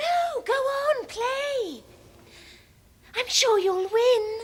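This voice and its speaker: Using a squeaky put-on character voice with an extremely high pitch, a woman speaks very slowly with ordinary pitch variation. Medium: short film. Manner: soft, calm.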